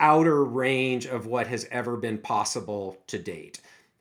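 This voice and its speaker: In a very clean recording with a silent background, a man with an American accent speaks in a normal speaking voice at a medium pitch with ordinary pitch variation. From US Pacific Northwest, Seattle. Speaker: aging research scientist. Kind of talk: interview.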